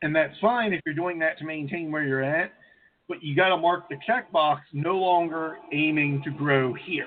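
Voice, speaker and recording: With a plain, everyday voice, a man speaks at a fairly high pitch and a fairly slow pace. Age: 30s. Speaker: co-host. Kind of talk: casual chat.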